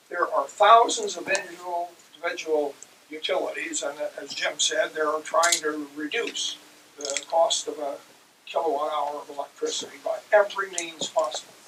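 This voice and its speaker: Noticeable background noise surrounds a man whose voice shows big swings in loudness. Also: moderate pace. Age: 80s+. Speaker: retired military officer. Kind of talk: panel Q&A remarks.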